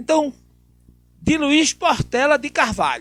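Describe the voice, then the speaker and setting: A man speaks at a very slow pace. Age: 60s. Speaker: TV talk show host. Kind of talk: political talk show interview.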